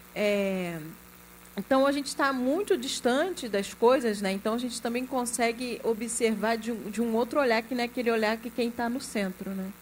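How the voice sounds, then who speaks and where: A woman talks at a moderate pace in a normal speaking voice. Her pitch sits fairly high and moves in an ordinary way. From Rio de Janeiro state, Brazil (Duque de Caxias). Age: 40s. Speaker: film executive producer. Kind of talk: panel discussion.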